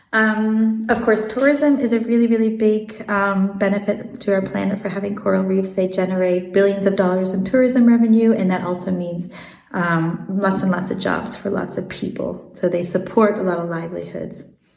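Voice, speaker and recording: With an American accent, a woman talks at a moderate pace with fairly even intonation and hardly any pauses, over noticeable background noise and audible room echo. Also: medium pitch for a woman. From Switzerland and South Africa, learned English in America. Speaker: marine biologist. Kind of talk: interview. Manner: hesitant, many fillers.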